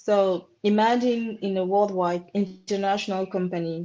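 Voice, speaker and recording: In a French accent, a woman speaks with a dark, mellow tone and fairly even intonation. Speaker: marketing professional. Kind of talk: career talk webinar. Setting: webinar. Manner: halting.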